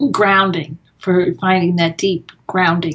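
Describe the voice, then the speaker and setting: A woman in an American accent, with a normal speaking voice, medium pitch, fairly even intonation and a fairly slow pace. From US Northeast (Massachusetts). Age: 60s. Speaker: author and meditator. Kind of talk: interview.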